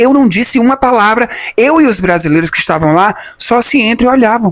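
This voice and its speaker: With a Brazilian accent, a man speaks at a high pitch and a moderate pace. His tone is animated and his intonation lively. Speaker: youtuber, former immigrant. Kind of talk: personal testimony, storytelling vlog. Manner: animated, conversational.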